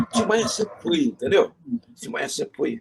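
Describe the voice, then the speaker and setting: Very wide pitch swings in a man's speech, noticeable background noise underneath. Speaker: veteran radio broadcaster, interviewee. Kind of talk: interview answer, storytelling anecdotes.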